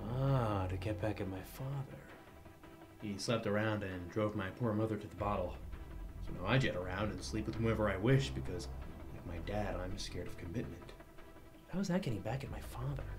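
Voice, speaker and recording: Speaking at a fairly low pitch, a man is heard with clear music behind him. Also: fairly quick pace. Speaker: actor playing a suave spy. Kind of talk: scripted comedy dialogue.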